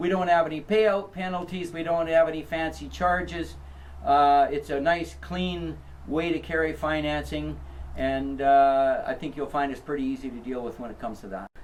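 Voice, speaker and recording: Big swings in loudness mark a man's speech at a moderate pace, heard with audible room echo. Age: 60s. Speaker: property seller. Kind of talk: interview. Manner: hesitant, frequent uh fillers.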